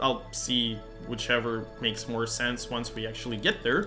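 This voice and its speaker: The speaker has a Russian accent. Audible room echo and music in the background accompany the voice. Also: man. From Russian-speaking country. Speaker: gaming streamer. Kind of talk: live game stream commentary. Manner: casual, many fillers.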